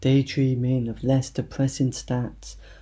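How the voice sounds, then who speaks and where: A somewhat breathy man at medium pitch, dark and mellow in tone, at a fairly slow pace. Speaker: poet. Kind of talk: poetry reading.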